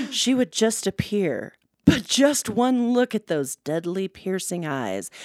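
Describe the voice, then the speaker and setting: Spoken at a very slow pace with very wide pitch swings, on a very clean recording with a silent background. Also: woman. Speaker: podcast co-host. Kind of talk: storytelling narration; casual chat. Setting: studio. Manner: animated.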